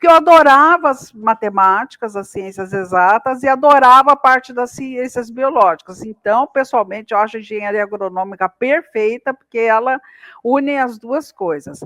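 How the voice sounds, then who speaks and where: A woman with a fairly high pitch and a bright, sharp tone talks at a moderate pace with lively intonation and hardly any pauses. The sound is dry and close with no echo. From interior of São Paulo state, Brazil. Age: 60s. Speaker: agricultural scientist. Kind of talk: podcast interview. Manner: hesitant, many fillers.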